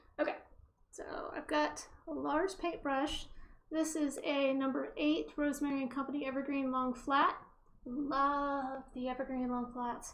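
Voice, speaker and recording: With audible room echo, a high-pitched woman speaks at a fairly slow pace and with fairly even intonation. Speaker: artist teaching oil painting. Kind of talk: painting tutorial. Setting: home studio, wearing headphones with music. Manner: casual, chatty; loud.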